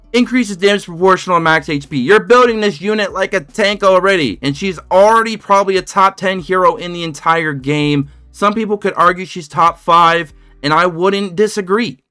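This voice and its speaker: A man speaks fast in a raised, projected voice with a high pitch. His tone is bright, sharp and animated, at a fairly quick pace. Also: ordinary pitch variation. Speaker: mobile game content creator. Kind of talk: gaming guide commentary. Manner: casual, animated.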